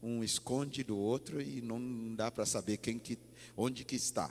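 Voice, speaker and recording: A man speaks with a slight non-native accent. His pitch is medium, with ordinary variation. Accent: slight foreign accent in Portuguese. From Ghana. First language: English (speaking Portuguese). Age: 40s. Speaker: pastor. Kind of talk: sermon. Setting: church. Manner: halting.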